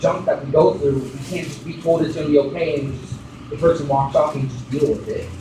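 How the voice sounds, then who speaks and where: A man speaks over noticeable background noise. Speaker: preacher giving a sermon. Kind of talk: sermon preached to a congregation.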